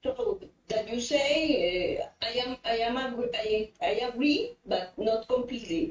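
Using lively intonation, a woman with a high voice speaks at a fairly slow pace. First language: Spanish. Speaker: cancer phytomedicine researcher. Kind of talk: audience Q&A question. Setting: online call.

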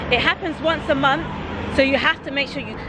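A woman with a high pitch is heard over crowd noise in the background, the sound dry with no echo. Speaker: food vlogger. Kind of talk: casual vlog chat. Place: street. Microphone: phone near.

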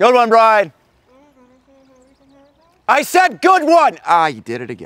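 A man speaks in a put-on character voice at an extremely high pitch, with very wide pitch swings. His pace is slow and his tone fairly bright.

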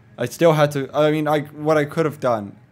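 Music can be heard behind the speaker. He is a man talking at a moderate pace. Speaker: gaming youtuber. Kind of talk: casual gaming commentary outro. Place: home room. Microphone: studio mic.

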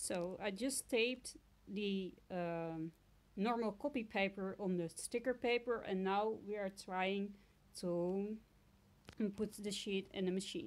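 Very slow speech in a Dutch accent, with ordinary pitch variation. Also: woman, medium pitch for a woman. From Netherlands. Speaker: crafter and sticker maker. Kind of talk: tutorial. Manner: halting, many fillers.

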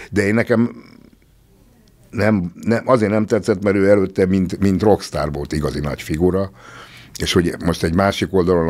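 At a moderate pace, a man speaks in a very deep, low pitch with vocal fry and ordinary pitch variation against a quiet background. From Hungary. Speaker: musician; podcast guest. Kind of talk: casual chat. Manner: halting. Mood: reflective, a bit wry. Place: studio. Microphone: studio mic.

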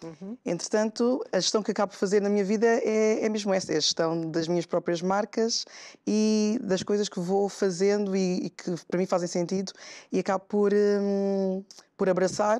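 Against a quiet background, a woman speaks at a moderate pace in a dark, mellow tone with fairly even intonation. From São Tomé and Príncipe. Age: young. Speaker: guest. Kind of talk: talk show interview. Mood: calm, friendly. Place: studio. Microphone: lapel.

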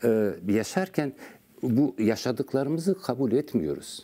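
A man's dark, mellow voice with vocal fry, very wide pitch swings and a fairly slow pace. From Turkey. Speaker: poet and writer; guest. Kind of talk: interview. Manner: halting. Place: studio. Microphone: lapel.

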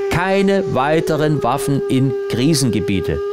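A man with a Saxon accent speaks over loud background noise. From Saxony. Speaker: cabaret artist and actor. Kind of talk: announcement to camera for a peace rally. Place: home room.

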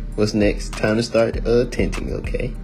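Music plays behind a man who speaks in a playful tone at a fairly slow pace. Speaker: amateur comedic voiceover narrator. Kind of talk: comedic voiceover of a beauty tutorial. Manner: casual, playful.

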